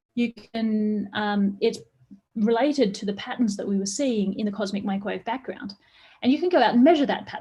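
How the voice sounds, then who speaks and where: A woman speaks at a fairly quick pace with a somewhat breathy, dark, mellow tone. Her pitch sits fairly high and moves with ordinary variation. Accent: Australian. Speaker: astrophysics professor. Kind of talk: public science lecture. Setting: online live stream. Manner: fast.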